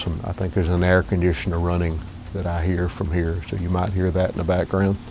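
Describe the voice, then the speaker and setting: A man with a Southern accent speaks in a very deep, low voice and a flat, monotone delivery over noticeable background noise. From US South, northeast Alabama. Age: 60s. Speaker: vlogger. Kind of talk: casual vlog monologue. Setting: outdoors under cabin porch roof. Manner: halting.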